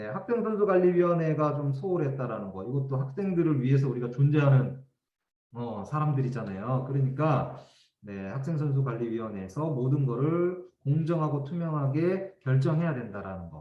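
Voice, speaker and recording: In a room with audible echo, a man with a fairly high, somewhat breathy voice speaks with lively intonation and big swings in loudness. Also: moderate pace. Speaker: education official giving training. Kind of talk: training lecture.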